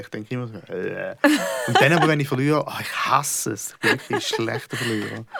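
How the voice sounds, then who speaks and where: A fairly quick-talking man swings widely in loudness while noticeable noise sits in the background. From Switzerland, Schaffhausen. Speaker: comedian. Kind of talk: casual conversation.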